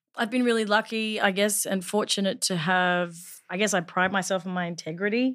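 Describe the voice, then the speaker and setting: A woman with a Northern Territory accent speaks at a medium pitch and a fairly quick pace, with fairly even intonation, on a very clean recording with a silent background. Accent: Australian, Northern Territory. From Northern Territory, Australia. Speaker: actor. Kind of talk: casual chat. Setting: studio.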